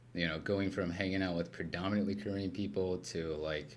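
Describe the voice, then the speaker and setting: Fairly even intonation and audible room echo mark this voice with an American accent. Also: man. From US West Coast, Los Angeles. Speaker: recovery center founder, former addict. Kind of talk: casual chat. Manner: casual, filler-heavy.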